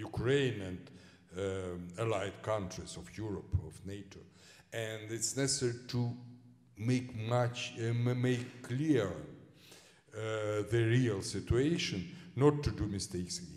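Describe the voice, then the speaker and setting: Audible room echo surrounds a man speaking at a very slow pace in a medium pitch, with ordinary pitch variation and big swings in loudness. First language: Russian. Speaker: historian. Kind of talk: lecture Q&A. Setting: lecture hall with audience. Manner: halting, many fillers.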